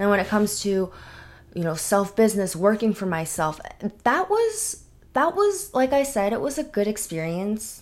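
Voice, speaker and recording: With a plain, everyday voice, a woman of fairly high pitch speaks at a moderate pace using lively intonation. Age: 20s. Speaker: solo podcaster. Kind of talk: casual monologue. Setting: home podcast setup.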